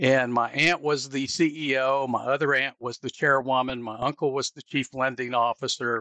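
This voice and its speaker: This man has a bright, sharp tone and a medium pitch, speaking in a Southern US accent at a moderate pace. The sound is dry and close with no echo, over a quiet background. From US South. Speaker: business owner. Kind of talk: interview.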